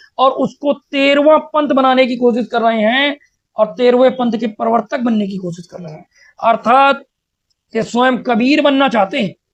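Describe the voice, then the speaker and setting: The man's voice sits extremely high in pitch. Its rise and fall is ordinary. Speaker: religious debate commentator. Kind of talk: polemical commentary. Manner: animated.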